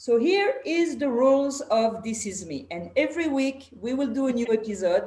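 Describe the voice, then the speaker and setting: A woman with a strong French accent speaks at a moderate pace in a high pitch, her intonation lively. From France. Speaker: podcast host. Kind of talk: casual interview chat.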